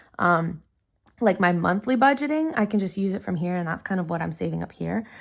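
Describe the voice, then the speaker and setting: A woman talks at a fairly quick pace in an ordinary speaking voice on a very clean recording with a silent background. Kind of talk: casual talk to camera.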